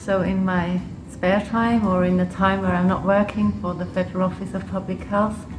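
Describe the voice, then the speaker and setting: Over music in the background and audible room echo, a woman with an English accent and medium pitch speaks at a moderate pace in a monotone, flat way. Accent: English-sounding. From Switzerland and Liechtenstein. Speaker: public health official. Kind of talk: interview. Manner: hesitant, with fillers.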